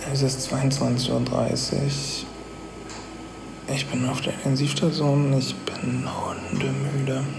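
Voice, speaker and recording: A man speaks very slowly, leaving long, frequent pauses. The room echo is audible, and so is the background noise. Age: 30s. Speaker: vlogger documenting his brain tumor surgery. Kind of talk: personal video diary with narration. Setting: hospital intensive care unit.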